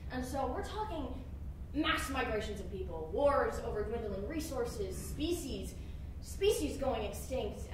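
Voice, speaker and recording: Speech comes at a fairly slow pace, with audible room echo and noticeable background noise. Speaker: actor. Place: stage.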